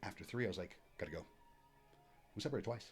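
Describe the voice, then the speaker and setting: A man talks with vocal fry. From military family, moved around US. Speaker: athletic trainer, former Coast Guard member. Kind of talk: casual podcast interview. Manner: loud and enthusiastic; talkative, fast.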